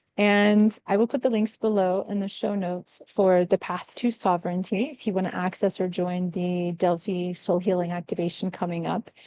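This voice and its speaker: A woman's medium-pitched voice with a dark, mellow tone, fairly even intonation and hardly any pauses. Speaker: spiritual podcast host. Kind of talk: spiritual monologue. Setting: cafe. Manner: fast.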